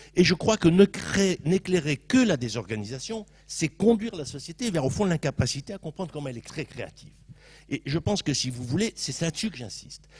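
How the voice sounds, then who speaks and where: Fairly high in pitch with vocal fry, a man speaks at a fairly quick pace, his pitch swinging very widely and his loudness varying a great deal. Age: 60s. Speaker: sociologist panelist at round table. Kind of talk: panel debate.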